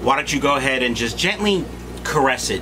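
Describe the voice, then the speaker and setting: A man is speaking. Music plays in the background. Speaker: fish breeder vlogger. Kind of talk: casual vlog chat. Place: home room.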